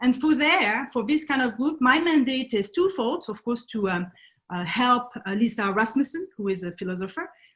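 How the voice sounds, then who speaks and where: At a moderate pace, a woman with a French accent speaks at a high pitch with lively intonation. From France. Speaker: conservation nonprofit founder. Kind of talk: presentation talk. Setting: video call. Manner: halting, many fillers.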